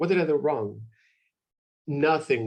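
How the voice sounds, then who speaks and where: A somewhat breathy man with a Spanish accent speaks with ordinary pitch variation. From Mexico, Jalisco. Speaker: university representative. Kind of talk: webinar presentation. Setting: video call. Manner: animated.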